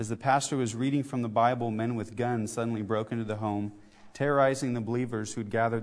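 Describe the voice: Someone does plain reading aloud with fairly even intonation.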